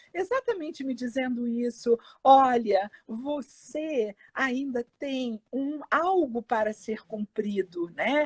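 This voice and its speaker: A woman talks at a very slow pace with hardly any pauses, her high pitch showing ordinary variation. The sound is dry and close, with no echo. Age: 60s. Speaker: psychologist, cancer survivor. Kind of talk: testimony. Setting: live video stream.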